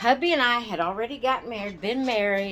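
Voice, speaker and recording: Lively intonation marks this woman's speech in a Southern US accent. She talks at a fairly slow pace. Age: 60s. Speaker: doll and craft channel host. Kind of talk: casual storytelling. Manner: meandering, hesitant.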